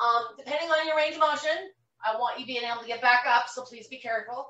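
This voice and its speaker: The speech runs at a fairly quick pace, and the pitch varies a normal amount. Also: woman. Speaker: vibration plate fitness instructor. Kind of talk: live online demonstration and Q&A. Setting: video call. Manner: casual, rambling with filler words.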